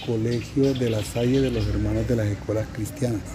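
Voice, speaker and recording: There is noticeable background noise along with audible room echo. The voice is a man's. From Colombia, Caribbean coast (Cartagena). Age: 50s. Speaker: teacher. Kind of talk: interview. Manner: halting, many fillers.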